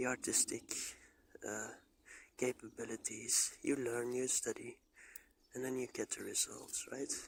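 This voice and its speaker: A man with a non-native accent, talking at a fairly slow pace. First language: not English. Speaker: vlogger and bonsai hobbyist. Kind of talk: personal monologue. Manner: halting.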